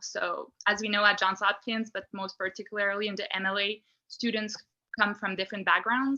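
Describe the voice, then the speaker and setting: In a Quebec accent, a woman talks at a fairly quick pace with a medium pitch and a bright, sharp tone. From Quebec, Canada. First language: French. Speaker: program alumna, former law student. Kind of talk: panel discussion.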